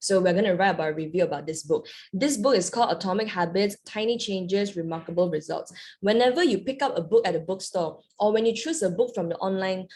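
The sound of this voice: A woman's medium-pitched voice, slightly mellow in tone, with ordinary pitch variation and a fairly quick pace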